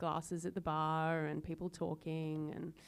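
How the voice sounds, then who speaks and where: This woman has a fairly low pitch. She talks with an Australian accent. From Tasmania, Australia. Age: 40s. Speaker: harpist. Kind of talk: casual chat. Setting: museum gallery with visitors.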